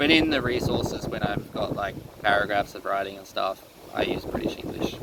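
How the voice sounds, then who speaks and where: Someone with an Australian accent speaks at a moderate pace amid noticeable background noise. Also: man. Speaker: teacher and online resource seller. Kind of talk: casual vlog monologue. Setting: seated indoors. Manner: hesitant, many fillers.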